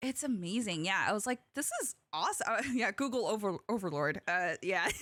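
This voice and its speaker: Bright and sharp in tone, a woman speaks at a moderate pace with a dry, close sound and no echo. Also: medium pitch for a woman, lively intonation. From US, Korean immigrant, partly raised in Korea. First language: Korean. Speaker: podcast host. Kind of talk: casual chat.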